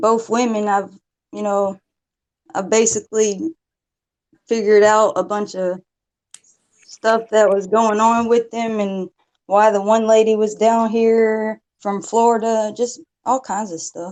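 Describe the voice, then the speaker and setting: The voice is shaky and moves at a fairly slow pace, broken by long, frequent pauses. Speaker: caller. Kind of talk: casual chat.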